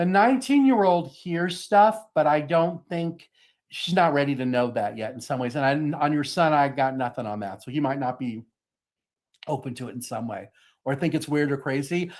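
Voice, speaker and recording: Lively intonation marks this man's speech. His pitch is fairly high, and the background is quiet. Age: 60s. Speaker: psychic reader. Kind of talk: live psychic reading. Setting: live online show. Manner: fast.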